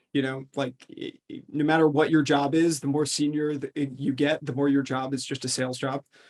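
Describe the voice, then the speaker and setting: The speech comes at a fairly quick pace in an American accent. The intonation is monotone and flat. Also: man, fairly high pitch for a man, hardly any pauses. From US, upstate New York. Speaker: venture capital investor. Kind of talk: interview. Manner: halting, many fillers and restarts.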